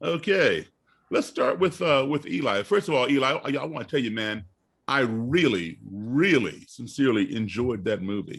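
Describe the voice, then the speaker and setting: An ordinary speaking voice, a man at medium pitch with lively intonation and a moderate pace. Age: 60s. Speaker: panel host. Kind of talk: panel discussion.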